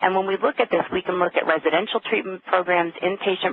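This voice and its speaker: Noticeable background noise runs under a woman speaking fairly quickly in a fairly low pitch with ordinary pitch variation. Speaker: addiction and pain researcher. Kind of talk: webinar lecture. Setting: conference call. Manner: fast.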